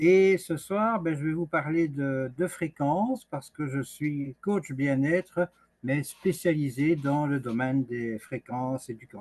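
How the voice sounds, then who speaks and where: With ordinary pitch variation and a fairly high pitch, a man talks at a very slow pace in a dry, close sound with no echo. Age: 60s. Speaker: wellness coach. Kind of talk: online presentation. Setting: video call.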